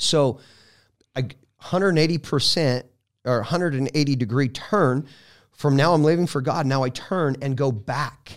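A fairly high-voiced man with an American accent at a moderate pace, ordinary pitch variation and long, frequent pauses, in a very clean recording with a silent background. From Colorado. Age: 40s. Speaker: evangelist. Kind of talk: testimony.

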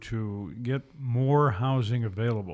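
On a very clean recording with a silent background, a man with medium pitch and ordinary pitch variation has an unremarkable speaking voice. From Kalispell, Montana. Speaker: radio host. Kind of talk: radio interview. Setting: radio studio.

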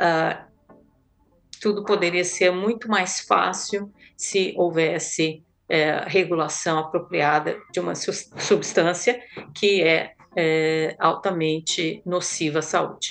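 Fairly even intonation at a very slow pace. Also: woman, fairly low pitch for a woman. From Brazil. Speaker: physician and public health consultant. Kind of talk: panel discussion. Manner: halting.

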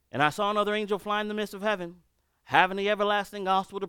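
A bright, sharp tone comes through on a very clean recording with a silent background. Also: man. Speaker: preacher. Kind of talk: sermon. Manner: loud; urgent, emphatic.

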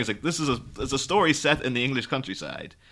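A man speaks with an Irish accent at a fairly quick pace, his tone bright and sharp. His pitch varies in an ordinary way, and the recording is very clean with a silent background. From Ireland. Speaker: podcast host guest. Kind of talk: casual chat.

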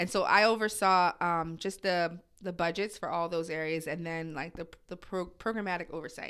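With an American accent, a woman speaks in a bright, sharp tone at a fairly low pitch, her pitch varying by an ordinary amount on a very clean recording with a silent background. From New Jersey suburbs. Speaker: church staff coordinator and social services worker. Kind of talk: casual interview conversation.

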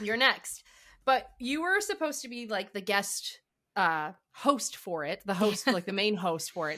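An animated voice with a bright, sharp tone. It moves at a fairly slow pace with lively intonation. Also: woman, medium pitch for a woman. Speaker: radio host. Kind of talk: casual interview chat. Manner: animated, excitable.

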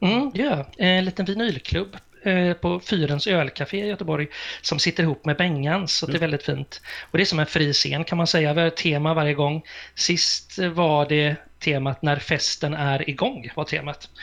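An ordinary speaking voice at a moderate pace, with ordinary pitch variation and very even loudness. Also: man, fairly high pitch for a man. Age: 50s. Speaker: radio and TV presenter. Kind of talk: casual chat.

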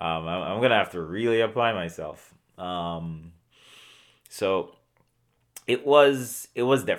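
A man with a Jamaican accent talks at a fairly slow pace in a medium pitch. His intonation is lively, broken by long, frequent pauses. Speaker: orthodontist.

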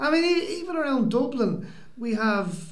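In an Irish accent, a man speaks at a very slow pace with lively intonation, and audible room echo surrounds him. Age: 40s. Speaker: podcast co-host. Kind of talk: casual chat. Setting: community centre.

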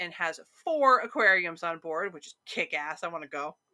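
Speaking at a moderate pace with a Midwestern American accent, a woman has a bright, sharp tone. Her pitch swings very widely. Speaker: podcast co-host. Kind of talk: casual chat about local ghost stories.

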